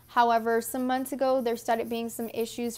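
A woman speaks at a fairly high pitch with an American accent. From Texas. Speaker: vlogger. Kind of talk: casual Q&A vlog. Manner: animated. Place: home room. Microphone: earbuds.

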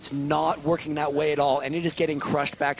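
A man's fairly high-pitched voice comes through noticeable background noise. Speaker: esports caster. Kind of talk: live commentary.

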